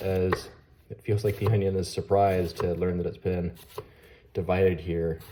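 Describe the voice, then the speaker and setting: A man with a fairly low, somewhat breathy voice and a dark, mellow tone. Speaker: knife reviewer. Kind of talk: product review tutorial.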